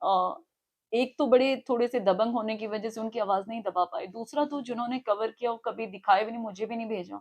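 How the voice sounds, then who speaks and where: A woman speaks in a normal speaking voice at a fairly high pitch, keeping a moderate pace and ordinary pitch variation. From Himachal Pradesh, Shimla. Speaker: alleged abuse victim. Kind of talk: interview testimony. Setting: outside party headquarters.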